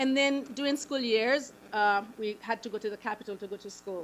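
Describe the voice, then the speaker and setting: A woman's fairly high voice at a moderate pace. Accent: Haitian. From Haiti. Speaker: nonprofit founder. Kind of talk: public presentation.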